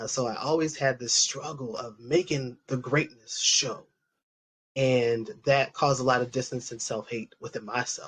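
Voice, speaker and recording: Using a normal speaking voice with an American accent, a man of medium pitch talks at a moderate pace with fairly even intonation. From US East Coast (Delaware, then Atlanta). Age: 40s. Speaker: panelist. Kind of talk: panel discussion.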